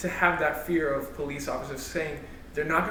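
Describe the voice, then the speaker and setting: A man with a fairly high pitch is heard amid noticeable background noise and audible room echo. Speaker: church youth panelist. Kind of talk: casual panel discussion. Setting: livestream.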